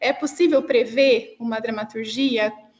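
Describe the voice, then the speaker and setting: The voice has a São Paulo interior accent and ordinary pitch variation. It moves at a fairly slow pace over noticeable background noise. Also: woman. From interior of São Paulo state, Brazil. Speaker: cultural producer. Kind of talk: question in an online discussion.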